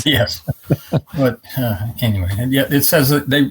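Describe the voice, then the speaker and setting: A man speaks at a medium pitch with lively intonation. Vocal fry runs through his voice. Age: 70s. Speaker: truck owner. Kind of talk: interview answer.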